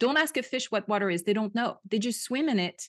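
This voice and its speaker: A woman's fairly high voice in a French accent, with lively intonation and a quiet background. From France. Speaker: podcast host and Bible teacher. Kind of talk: casual interview. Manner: animated.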